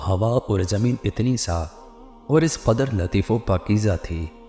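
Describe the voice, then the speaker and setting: Music plays in the background as a man with a fairly low pitch talks with lively intonation. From Pakistan. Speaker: voice over artist. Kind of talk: Islamic story narration.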